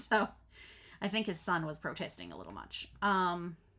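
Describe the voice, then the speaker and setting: A woman with vocal fry talks at a moderate pace, her medium pitch showing ordinary variation. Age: 40s. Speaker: crafting vlogger. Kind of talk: casual vlog chat. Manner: stumbling over words.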